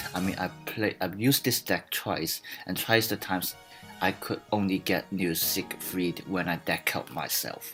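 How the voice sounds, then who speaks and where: A man's very deep, low voice at a fairly slow pace, with fairly even intonation and music in the background. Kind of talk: card game deck explanation. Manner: hesitant, many fillers.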